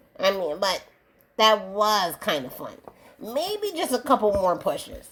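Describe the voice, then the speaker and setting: A female-sounding put-on character voice speaks at a fairly high pitch. The pace is fairly slow. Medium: read story. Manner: playful, excitable.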